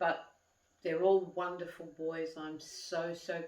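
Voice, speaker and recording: Monotone and flat, a woman with an Australian accent speaks fairly slowly at a fairly low pitch, with audible room echo. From Australia, Sydney. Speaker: vlogger. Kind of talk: casual monologue to camera. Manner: conversational.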